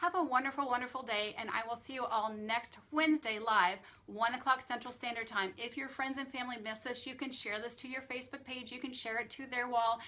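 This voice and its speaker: Amid noticeable background noise, a woman with a high pitch speaks at a fairly quick pace with hardly any pauses. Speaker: nutrition specialist doing a weekly live Q&A. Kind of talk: live stream Q&A with product talk. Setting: Facebook live stream. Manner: fast; enthusiastic, upbeat.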